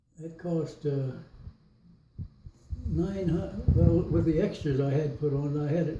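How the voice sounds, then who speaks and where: A man's fairly high voice with fairly even intonation, a fairly slow pace, long and frequent pauses, and noticeable background noise. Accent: American. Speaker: World War II veteran. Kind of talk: interview answer. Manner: hesitant, rambling.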